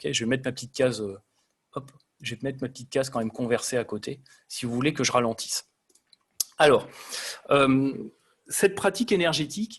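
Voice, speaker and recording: A man's somewhat breathy, medium-pitched voice at a fairly quick pace, with lively intonation, big swings in loudness and long, frequent pauses. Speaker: energy design engineer presenter. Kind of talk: lecture. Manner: fast.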